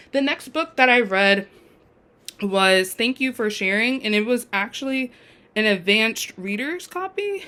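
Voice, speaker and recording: A woman's fairly high pitch, animated tone and lively intonation. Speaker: book vlogger. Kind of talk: casual chat. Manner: fast.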